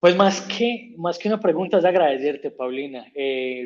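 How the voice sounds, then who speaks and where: With an Antioquian accent, this man speaks at a fairly high pitch, with ordinary pitch variation. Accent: paisa. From Colombia, Antioquia (paisa). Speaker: humanitarian worker. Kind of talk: interview.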